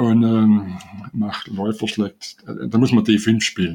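Speaking at a very slow pace, a man has a fairly low pitch and a dark, mellow tone. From Swabia, Germany. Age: 70s. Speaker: chess player and rating researcher. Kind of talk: interview. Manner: halting, many fillers.

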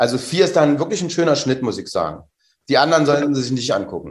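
A man with a normal speaking voice, fairly high in pitch, with ordinary pitch variation. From northern Germany, Mecklenburg (Rostock). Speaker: actor. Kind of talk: casual interview chat.

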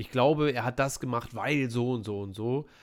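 An ordinary speaking voice at a moderate pace, with ordinary pitch variation and a very clean recording against a silent background. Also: man. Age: 30s. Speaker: film podcast host. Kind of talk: casual chat.

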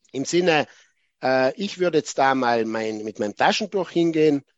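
A man with a plain, everyday voice talks at medium pitch with ordinary pitch variation. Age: 40s. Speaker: chess arbiter. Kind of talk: lecture.

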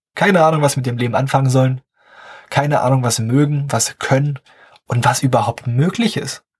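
The voice is somewhat breathy, with ordinary pitch variation and a fairly quick pace, and the sound is dry and close with no echo. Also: man, medium pitch for a man. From southern Brandenburg, eastern Germany. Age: young. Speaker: podcast host, business student. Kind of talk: casual solo podcast monologue.

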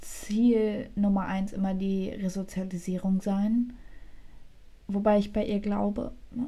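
A soft-spoken woman with a medium pitch talks at a very slow pace, her fairly even intonation broken by long, frequent pauses. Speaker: true crime podcast co-host. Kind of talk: casual chat with true crime storytelling. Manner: soft-spoken, quiet. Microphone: too quiet.

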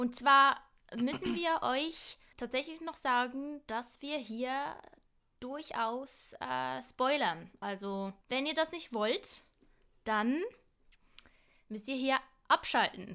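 Speaking very slowly with long, frequent pauses, a woman uses a raised, projected, high-pitched voice with a bright, sharp tone. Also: lively intonation. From Switzerland, Basel. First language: Swiss German (speaking German). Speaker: podcast co-host, acting student. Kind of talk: casual chat. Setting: remote call.

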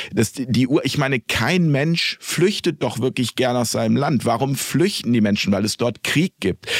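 A man with a plain, everyday voice speaks at a moderate pace, with hardly any pauses. His medium pitch carries lively intonation at very even loudness. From Lippe, Germany. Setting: studio.

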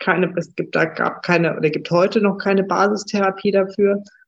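An unremarkable speaking voice from a woman, medium in pitch, at a fairly slow pace. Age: 40s. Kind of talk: interview.

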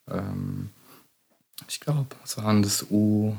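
With a dark, mellow tone, a man talks in a fairly low pitch and fairly even intonation. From Hesse, Germany (Dietzenbach area). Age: 20s. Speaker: physiotherapist. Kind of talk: casual chat.

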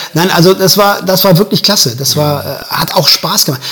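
A man with a high pitch talks at a fairly quick pace with ordinary pitch variation. Noticeable background noise runs underneath. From Germany, Göttingen area (Lower Saxony). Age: 50s. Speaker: musician and a cappella singer. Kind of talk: casual interview.

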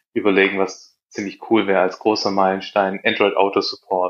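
Against a quiet background, a man with a Swabian accent speaks at a moderate pace in a fairly low voice. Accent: Swabian, audible. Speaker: app developer, co-founder. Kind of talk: casual interview chat.

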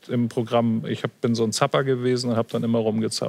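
At a moderate pace, a man with a medium pitch speaks in a plain, everyday voice. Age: 50s. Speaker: photographer and programmer analysing pandemic figures. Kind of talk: panel talk show discussion. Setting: studio in Hamburg.

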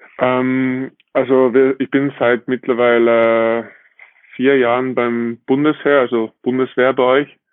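A man speaks at a medium pitch and a very slow pace, his loudness very even. His intonation is monotone and flat, with music playing in the background. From Austria. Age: 20s. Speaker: professional beach volleyball player. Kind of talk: casual interview.

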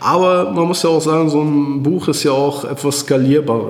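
A man's fairly high voice at a moderate pace with ordinary pitch variation, audible room echo and noticeable background noise. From Germany, Iserlohn (Sauerland, North Rhine-Westphalia). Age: 30s. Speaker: author and entrepreneur. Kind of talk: interview. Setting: office, in person.

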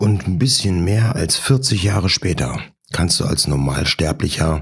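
Speaking at a fairly slow pace, a man makes very wide pitch swings. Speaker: podcast host. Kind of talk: casual monologue.

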